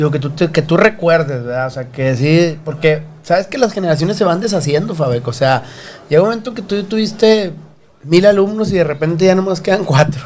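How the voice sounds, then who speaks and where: With a high pitch and lively intonation, the man talks at a fairly quick pace. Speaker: podcast host. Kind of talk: casual chat. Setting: studio.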